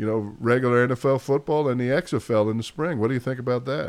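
A man with a New York accent speaks at a medium pitch with ordinary pitch variation against a quiet background. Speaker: podcast host. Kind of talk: casual sports chat.

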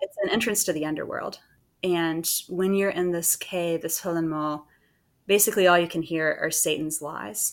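Speaking with an American accent, a woman has a normal speaking voice, a fairly low pitch, fairly even intonation and a moderate pace. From US South, Savannah, Georgia. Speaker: novelist. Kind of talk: interview.

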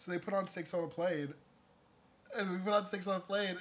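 Speaking very fast, a man uses a raised, projected voice pitched high. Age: 20s. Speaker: podcast co-host. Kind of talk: casual chat. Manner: animated.

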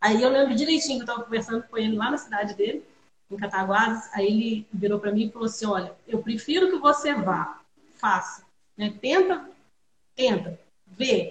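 A woman with a fairly high, somewhat breathy voice speaks at a moderate pace with lively intonation. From Minas Gerais, Brazil (Juiz de Fora). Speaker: winemaker. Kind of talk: casual chat.

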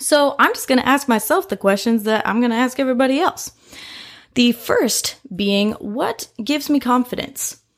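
With an American accent, a woman speaks at a moderate pace in a high pitch with ordinary variation. Her tone is animated. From US Midwest, Indianapolis, Indiana. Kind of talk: solo podcast monologue.

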